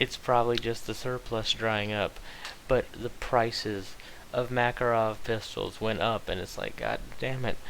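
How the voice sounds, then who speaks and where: The speech is mumbled at a fairly slow pace. Intonation stays flat and monotone. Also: man, medium pitch for a man. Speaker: vlogger. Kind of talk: casual monologue. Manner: mumbling; halting.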